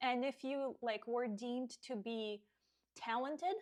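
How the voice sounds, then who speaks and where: Ordinary pitch movement marks this fairly slow delivery. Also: woman. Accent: Russian. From Russia (Siberia). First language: Russian. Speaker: fitness coach. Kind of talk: podcast monologue.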